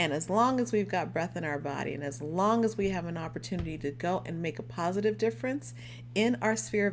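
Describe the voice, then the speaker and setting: A woman with a very deep, low pitch and vocal fry, an animated tone, very wide pitch swings and a moderate pace. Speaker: life coach. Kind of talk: live stream talk.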